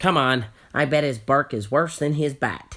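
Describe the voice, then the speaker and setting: A gruff put-on character voice at a low-to-middle pitch and a moderate pace. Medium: read story. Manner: grumpy, gruff.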